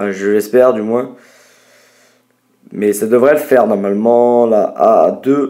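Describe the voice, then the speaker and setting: A man's medium-pitched, dark, mellow voice, very slow, with fairly even intonation and long, frequent pauses. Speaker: gaming youtuber. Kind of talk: gameplay commentary.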